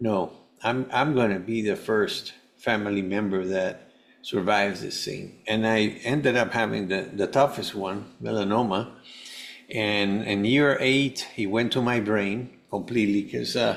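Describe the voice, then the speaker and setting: A man with a fairly low voice speaks fairly slowly in a Spanish accent, his intonation fairly even. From Venezuela. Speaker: health coach and cancer survivor. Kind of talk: podcast interview. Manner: halting, many false starts.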